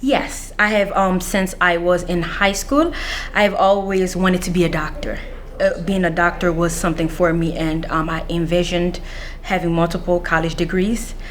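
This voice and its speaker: Noticeable background noise and audible room echo surround the voice. The pace is fairly slow. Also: woman. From Central African Republic, raised in Washington DC (Anacostia) from age 7. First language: not English (English is fifth language). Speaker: mental health counselor with a PhD, former scholarship recipient. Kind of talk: interview. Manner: hesitant, many filler sounds.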